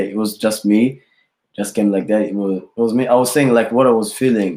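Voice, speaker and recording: A man in a Rwandan accent talks with fairly even intonation and a dark, mellow tone. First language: Kinyarwanda. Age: 20s. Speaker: rapper. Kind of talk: interview. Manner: halting.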